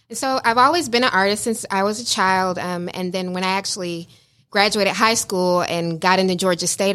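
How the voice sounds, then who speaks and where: An ordinary speaking voice from a woman at medium pitch, with fairly even intonation and a moderate pace, in a very clean recording with a silent background. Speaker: visual artist, business owner.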